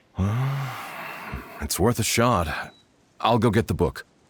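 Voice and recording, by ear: A man puts on a character voice with a husky, rough edge and a fairly low pitch. His intonation is lively and his pace is slow.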